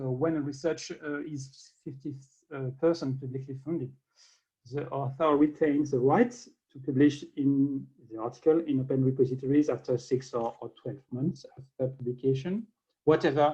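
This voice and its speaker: A man with a French accent, fairly high in pitch, dark and mellow in tone, somewhat breathy, with fairly even intonation, moderate pace and big swings in loudness. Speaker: government open science official. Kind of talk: conference keynote. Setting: video call. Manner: halting.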